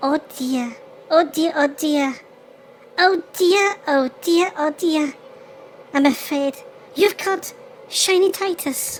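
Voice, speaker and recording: This put-on character voice moves at a very slow pace, broken by long, frequent pauses. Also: woman, extremely high pitch for a woman. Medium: audio drama. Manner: fretful, repeats "oh dear".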